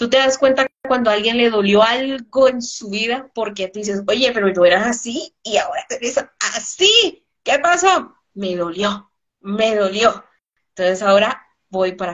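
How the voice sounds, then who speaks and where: In an ordinary speaking voice, a woman with a fairly high pitch speaks at a fairly slow pace, her intonation lively and her loudness swinging widely. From Colombia. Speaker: business speaker. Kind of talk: interview.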